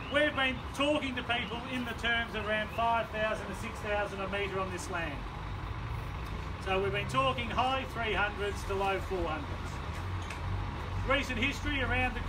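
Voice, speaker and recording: A man's speech with long, frequent pauses over loud background noise. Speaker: property auctioneer. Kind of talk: auction sales patter describing the property and area. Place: street. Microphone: camera far.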